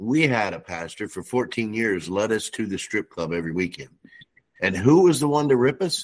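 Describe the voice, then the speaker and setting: The speaker has a plain, everyday voice. The intonation is lively. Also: man. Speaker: show co-panelist. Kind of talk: casual Bible discussion.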